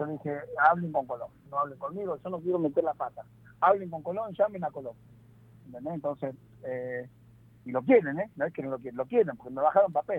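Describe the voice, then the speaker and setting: Rushing at a very fast pace yet breaking into long, frequent pauses, a man with a fairly high pitch swings widely in loudness. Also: ordinary pitch variation. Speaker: football player agent. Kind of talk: interview.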